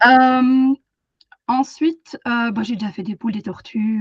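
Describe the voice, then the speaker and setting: Speech comes at a moderate pace in a somewhat breathy voice, its pitch varying in an ordinary way. The sound is dry and close, free of echo. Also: woman. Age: 30s. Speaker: animal communicator and energy therapist. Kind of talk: webinar presentation. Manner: hesitant, many fillers.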